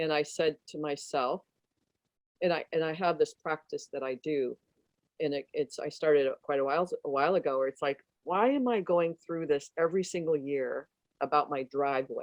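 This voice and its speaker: This woman has a very deep, low pitch and ordinary pitch variation, with an American accent. She talks at a moderate pace. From US Midwest, Detroit. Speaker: transformational coach and author. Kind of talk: interview conversation. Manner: halting, many restarts.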